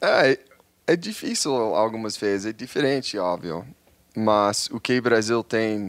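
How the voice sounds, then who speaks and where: In an English accent, a man with a fairly low pitch talks at a fairly slow pace. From New York, US. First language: English (speaking Portuguese). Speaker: social media travel creator. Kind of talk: casual chat.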